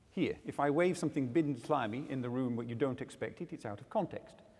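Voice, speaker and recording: Vocal fry colors a man's voice at a fairly quick pace. The recording is very clean, with a silent background. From England. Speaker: agriculture industry speaker. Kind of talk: conference workshop talk. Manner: hesitant, many fillers.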